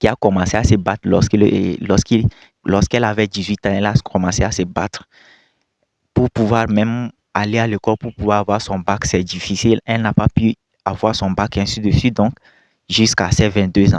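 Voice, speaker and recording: A man's fairly low voice at a moderate pace, with fairly even intonation, long, frequent pauses, and a dry, close sound with no echo. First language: not French (speaking French). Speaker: video commentator. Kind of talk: reaction commentary.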